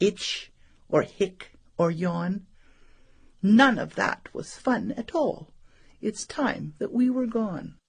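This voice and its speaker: A woman speaks in a put-on character voice. She talks at a very slow pace. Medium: read story.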